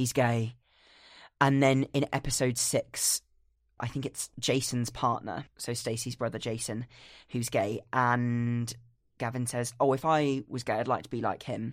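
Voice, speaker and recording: The recording is very clean, with a silent background. The pace is fairly slow. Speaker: podcast co-host. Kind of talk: casual chat.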